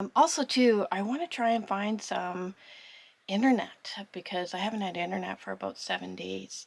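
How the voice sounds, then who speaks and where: Pitch rises and falls in an ordinary way. The speed is moderate. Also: woman, medium pitch for a woman. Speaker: sailing vlogger. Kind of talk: casual vlog talk to camera. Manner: whispering.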